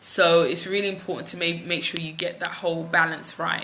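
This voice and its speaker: A woman speaks with a London accent at medium pitch. Noticeable background noise and audible room echo accompany her. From London, England (west, near Ealing). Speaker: business coach and vlogger. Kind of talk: live stream chat with viewers. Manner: casual, many fillers.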